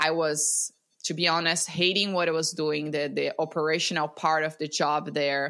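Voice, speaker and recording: A woman's very deep, low voice with a Portuguese accent at a fairly slow pace. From Brazil. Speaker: breathwork coach. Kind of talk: casual interview. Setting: video call.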